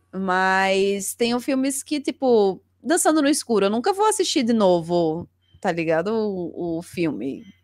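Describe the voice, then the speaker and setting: With very wide pitch swings around a medium pitch, a woman speaks at a fairly slow pace on a very clean recording with a silent background. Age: 30s. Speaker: streamer and cultural journalist. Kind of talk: casual chat. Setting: live video stream.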